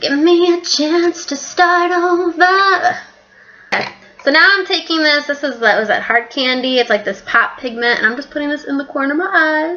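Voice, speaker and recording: Speaking at a moderate pace, the woman has a high-pitched voice. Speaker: beauty vlogger. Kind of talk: casual vlog chat. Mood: playful, relaxed. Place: kitchen. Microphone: webcam.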